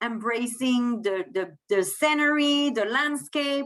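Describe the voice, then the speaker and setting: Here a woman with a French accent speaks at a high pitch. Her pace is fairly slow. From France. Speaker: cruise line sales manager. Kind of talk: sales presentation.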